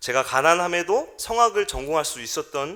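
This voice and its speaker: With a bright, sharp tone and vocal fry, a man talks at a moderate pace. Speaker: pastor. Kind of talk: sermon. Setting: church.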